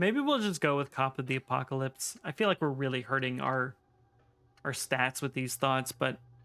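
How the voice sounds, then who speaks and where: A man talks at a fairly quick pace in a bright, sharp tone. The recording is very clean with a silent background, and the sound is dry and close with no echo. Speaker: game streamer. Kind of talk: casual gameplay commentary. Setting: live stream.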